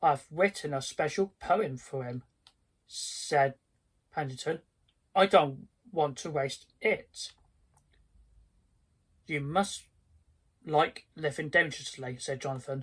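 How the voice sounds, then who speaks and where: The speech moves at a very slow pace. Long pauses come frequently. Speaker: video creator who reads children's stories aloud. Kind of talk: children's story read aloud. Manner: storybook narration with character voices.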